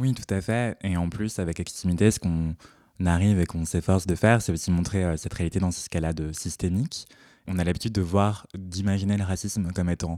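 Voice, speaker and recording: A man speaks at a very deep, low pitch in a dark, mellow tone, with fairly even intonation. His pace is fairly quick, and the recording is very clean with a silent background. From Paris region, France. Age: 20s. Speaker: fashion journalist. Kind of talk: casual interview.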